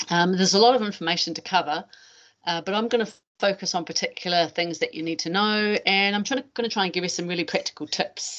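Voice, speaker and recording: Speaking in a New Zealand accent, a woman talks at a very fast pace with a medium pitch and ordinary pitch variation. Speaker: anti-doping educator, former athlete. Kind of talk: webinar presentation. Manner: fast at times.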